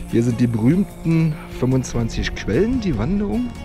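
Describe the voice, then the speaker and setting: Clear music plays in the background while a man speaks. The sound is dry, with no echo. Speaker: hiker vlogger. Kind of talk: casual vlog chat. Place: open country. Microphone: phone near.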